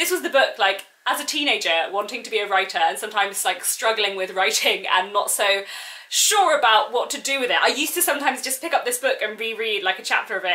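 Speaking very fast, a woman uses a fairly high pitch and lively intonation. Her tone is animated. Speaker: book vlogger. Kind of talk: video announcement, enthusiastic talk to camera. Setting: video recording. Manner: fast talker; animated, excitable. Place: home room. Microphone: phone near.

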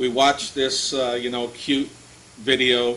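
A man speaks at a moderate pace over light background noise. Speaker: pastor. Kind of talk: sermon. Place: church. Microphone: podium.

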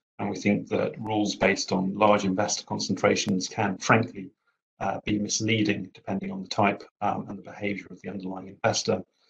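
A man speaks at a fairly quick pace with a fairly low pitch and a somewhat breathy voice. His intonation is monotone and flat, over a quiet background. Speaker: panelist. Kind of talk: panel discussion remarks. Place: home room. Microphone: headset.

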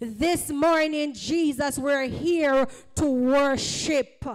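Very slow speech against a quiet background. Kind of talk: fervent public prayer. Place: church.

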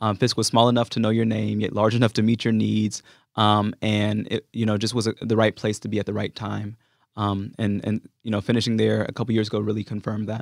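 With an American accent, a man speaks at a fairly quick pace in a fairly low pitch with monotone, flat intonation, on a very clean recording with a silent background and a dry, close sound with no echo. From California, US. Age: 20s. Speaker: activist and congressional candidate. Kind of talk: interview.

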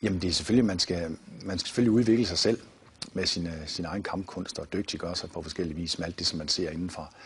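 Speaking very fast, a man with a very deep, low voice sounds somewhat breathy, with ordinary pitch variation. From Denmark, Viborg; Denmark. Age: 50s. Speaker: martial arts founder and author; martial arts teacher. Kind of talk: TV interview. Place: studio.

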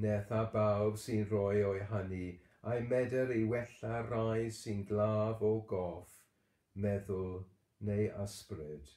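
Solemn and very slow, a man with a Welsh accent speaks in a dark, mellow tone at a fairly low pitch, his intonation fairly even and the room echo audible. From Wales. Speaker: church service leader. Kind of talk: morning prayer service, bilingual Welsh-English, with intercessory prayer. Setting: online church service, livestream. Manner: fervent, solemn and earnest, with slow, measured, devout intonation. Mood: calm, solemn. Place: home room. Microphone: webcam.

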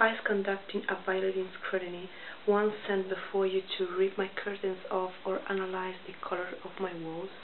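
At a moderate pace, a woman speaks at medium pitch with monotone, flat intonation. There is light background noise. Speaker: poet. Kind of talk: poetry reading. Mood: calm, pointed, slightly confrontational. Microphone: webcam.

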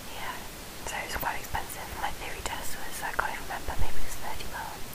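Whispering very fast over noticeable background noise, a woman swings widely in loudness. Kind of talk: whispered ASMR-style talk to camera. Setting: recorded late at night at home. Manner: whispered, soft-spoken.

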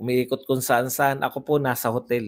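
A man is speaking. The background is quiet. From Philippines. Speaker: political vlogger. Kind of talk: live-stream commentary reading comments. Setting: hotel room, live stream. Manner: casual, frequent laughter. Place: home room. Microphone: lapel.

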